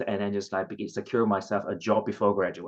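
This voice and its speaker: A man speaks with a Cantonese accent. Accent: Chinese (Cantonese) accented English. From southern China (Guangzhou). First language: Chinese (Cantonese). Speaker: former international student. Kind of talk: personal story at career workshop. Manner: halting, many fillers.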